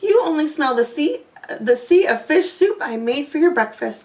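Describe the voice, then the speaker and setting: A woman puts on a character voice, pitched high. She keeps a moderate pace. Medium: read story.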